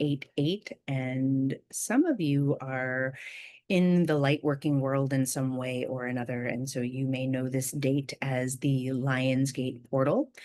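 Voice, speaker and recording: Soft-spoken and fairly slow, a woman talks in a dark, mellow tone at a very deep, low pitch. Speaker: spiritual video host. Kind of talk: casual spiritual talk. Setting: at home, early morning.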